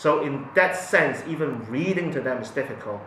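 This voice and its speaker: Delivered at a moderate pace with ordinary pitch variation, the speech carries noticeable background noise and audible room echo. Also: man. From Hong Kong. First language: Cantonese. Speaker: parent. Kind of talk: interview testimony. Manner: halting, many fillers and repetitions.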